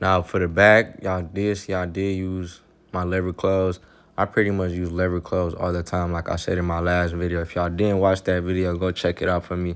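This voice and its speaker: A man's very deep, low, monotone voice with an American accent and a relaxed tone, over a quiet background. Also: fairly quick pace. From Michigan, Pontiac near Detroit. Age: 20s. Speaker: barber. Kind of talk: tutorial. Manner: casual, relaxed.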